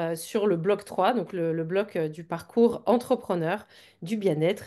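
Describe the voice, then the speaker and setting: Against a quiet background, a woman speaks very slowly. Her dark, mellow voice sits at a medium pitch with ordinary pitch variation. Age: 40s. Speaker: business coach for wellness entrepreneurs. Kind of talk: live webinar interview. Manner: hesitant, many fillers.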